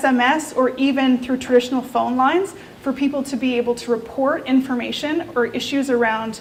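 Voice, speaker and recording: Here a woman speaks in a high pitch. Her intonation is fairly even. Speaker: researcher presenting a report. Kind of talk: presentation to a meetup audience. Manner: fast.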